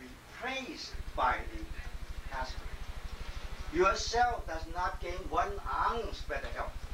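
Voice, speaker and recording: There is audible room echo and light background noise as a man speaks at a very slow pace. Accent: Chinese. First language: Chinese. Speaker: qigong lecturer and panel moderator. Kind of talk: lecture. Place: home room. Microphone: camera far.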